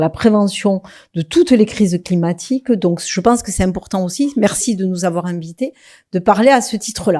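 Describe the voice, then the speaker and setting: This woman has a medium pitch, a dark, mellow tone and a Toulouse accent, speaking at a moderate pace with ordinary pitch variation on a very clean recording with a silent background. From southwest France, Toulouse. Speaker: local government executive. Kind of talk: conference talk. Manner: hesitant, many fillers.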